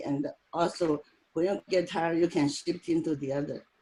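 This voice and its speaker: A moderate pace over music in the background. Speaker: tai chi practitioner. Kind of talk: online group discussion. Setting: video call.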